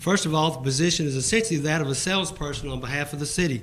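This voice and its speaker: Through audible room echo, a man with an American accent talks at a very fast pace, his fairly high pitch held in fairly even intonation. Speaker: citizen speaking at public comment. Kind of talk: public comment at council meeting. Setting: council chamber. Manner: formal.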